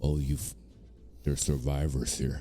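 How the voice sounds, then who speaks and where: Putting on a character voice, a man speaks at a moderate pace in a very deep, low pitch with monotone, flat intonation. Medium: actual play. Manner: terse, grunting.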